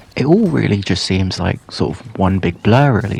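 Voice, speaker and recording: A man speaks at a moderate pace with a fairly low pitch. Noticeable background noise runs underneath. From England, Pakistani heritage. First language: Urdu or Punjabi. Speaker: YouTuber. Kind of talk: personal storytelling monologue. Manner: hesitant, many fillers.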